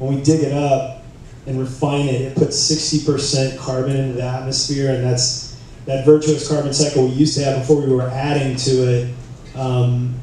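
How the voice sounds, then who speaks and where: A man's flat, monotone speech in strong room echo, with light background noise. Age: 40s. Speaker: surf brand executive. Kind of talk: conference panel talk. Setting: stage with audience. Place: hall. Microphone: camera far.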